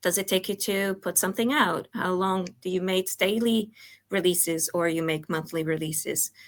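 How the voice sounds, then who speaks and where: A woman's medium-pitched voice in a Portuguese accent at a moderate pace, on a very clean recording with a silent background. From Portugal. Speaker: product coach. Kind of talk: talk presentation. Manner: hesitant, many fillers.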